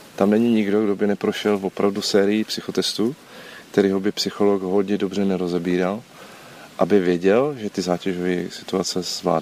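Over noticeable background noise, a man with a fairly low pitch speaks at a moderate pace with fairly even intonation. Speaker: former special police officer. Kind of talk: interview.

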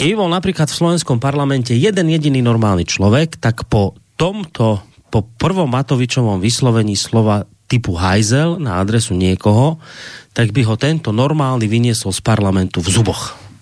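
A man with medium pitch and an ordinary speaking voice speaks at a moderate pace with lively intonation. The recording is very clean with a silent background. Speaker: radio host. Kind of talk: radio talk show interview. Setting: radio studio.

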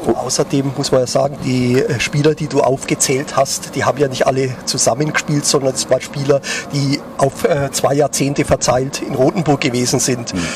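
Hardly pausing, a man speaks at a fairly high pitch with fairly even intonation over noticeable background noise. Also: moderate pace. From Lower Franconia, Germany. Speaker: newspaper sports journalist. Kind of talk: casual chat. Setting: outdoors at a pub.

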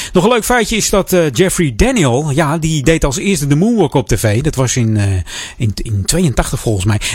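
Over noticeable background noise, a man with a fairly high pitch speaks at a moderate pace, his pitch swinging very widely. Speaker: radio host. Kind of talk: radio DJ patter introducing songs with music trivia. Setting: radio studio. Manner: relaxed chatty; casual, with filler words and trailing off.

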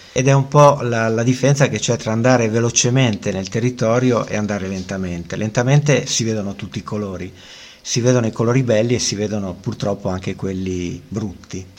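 At a fairly quick pace, a man talks in an unremarkable speaking voice of medium pitch with ordinary pitch variation. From Italian coast. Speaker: long-distance walker and travel writer. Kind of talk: radio interview.

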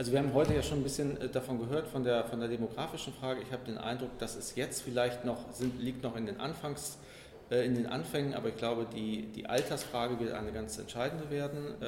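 A man speaks at a medium pitch and a fairly quick pace, with ordinary pitch variation. Noticeable background noise and audible room echo surround him. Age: 50s. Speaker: communications executive. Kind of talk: interview.

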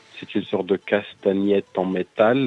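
A man with a very deep, low pitch and ordinary pitch variation speaks at a moderate pace while noticeable background noise carries on. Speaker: metal band singer. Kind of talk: radio interview.

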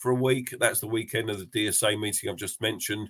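A man talks at medium pitch with fairly even intonation, in an ordinary speaking voice. The sound is dry and close, with no echo. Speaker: podcast host. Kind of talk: casual chat. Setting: video call.

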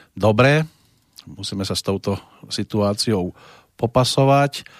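A man talks at a fairly slow pace in a fairly low pitch, with lively intonation. The recording is very clean and dry, close, with no echo and a silent background. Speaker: radio music show host. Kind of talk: radio music show presenting.

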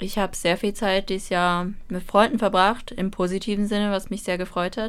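Intonation stays monotone and flat. Behind it is a silent background on a very clean recording. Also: woman, medium pitch for a woman, moderate pace. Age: 20s. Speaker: university student. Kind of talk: casual chat. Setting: radio studio.

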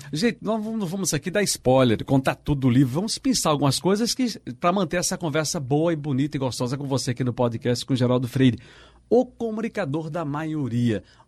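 With a normal speaking voice, a man talks at a fairly quick pace, his pitch fairly high and his intonation lively. The background is quiet. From Pernambuco, Brazil (São Lourenço da Mata). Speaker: radio journalist and co-host. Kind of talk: casual chat.

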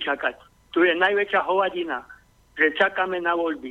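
The man's pitch is high. He keeps to a moderate pace. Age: 50s. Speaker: caller. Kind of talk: call-in. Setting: phone call.

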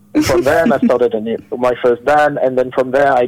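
A man's medium-pitched voice in a French accent, with noticeable background noise. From France. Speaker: musician. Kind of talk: interview. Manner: halting.

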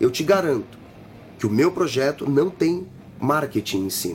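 With lively intonation, a man keeps a moderate pace. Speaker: musician and city council candidate. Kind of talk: interview, campaign pitch. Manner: halting.

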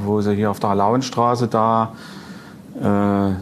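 Over noticeable background noise, a man talks at a medium pitch in a monotone, flat way. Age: 40s. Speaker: record dealer and collector. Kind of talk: casual chat. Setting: club venue.

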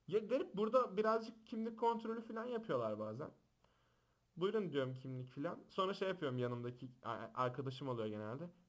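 A man's high voice at a fairly quick pace, with very wide pitch swings. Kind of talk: casual chat. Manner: loud; animated.

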